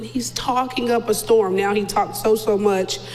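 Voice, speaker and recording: A woman with a fairly high voice speaks fairly slowly and with ordinary pitch variation, amid audible room echo and noticeable background noise. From North Carolina. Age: 30s. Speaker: mother of a child with a rare disease. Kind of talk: interview. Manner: loud.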